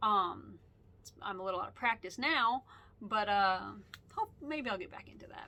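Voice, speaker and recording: A woman speaks at a medium pitch in a bright, sharp tone with ordinary pitch variation. Her loudness swings widely, and she leaves long, frequent pauses. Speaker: podcast host. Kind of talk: casual monologue. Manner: fast; animated.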